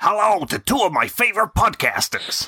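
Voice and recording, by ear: A raspy, put-on character voice carries an American accent as part of the act. It moves at a moderate pace.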